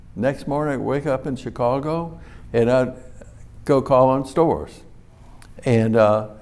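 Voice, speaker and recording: A man with a Louisiana accent at medium pitch, fairly slow pace and fairly even intonation, with long, frequent pauses. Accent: Southern US, Louisiana. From New Iberia, Louisiana. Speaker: hot sauce company founder. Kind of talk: interview answer.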